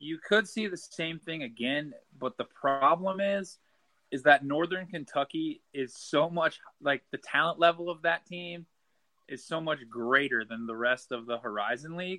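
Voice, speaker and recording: A man has a normal speaking voice with an American accent and a fairly high pitch. He talks at a moderate pace with ordinary pitch variation. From Nebraska. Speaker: college basketball writer. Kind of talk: casual chat.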